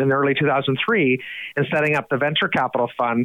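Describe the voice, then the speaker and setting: This man speaks with an Atlantic Canadian accent. His pace is moderate and his pitch variation ordinary. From New Brunswick, Canada (Fredericton). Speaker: head of an investment foundation. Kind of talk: podcast interview.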